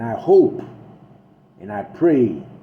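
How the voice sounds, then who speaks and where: A man's voice with audible room echo. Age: old. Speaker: political vlogger, veteran. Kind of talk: political monologue. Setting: self-recorded video. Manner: animated.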